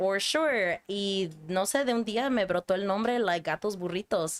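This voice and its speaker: A woman of medium pitch with a Spanish accent. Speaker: podcast guest, artist and museum educator. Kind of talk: casual chat. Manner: code-switching between English and Spanish.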